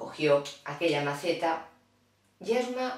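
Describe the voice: A woman speaks at a fairly slow pace with lively intonation. Her pitch is low for a woman.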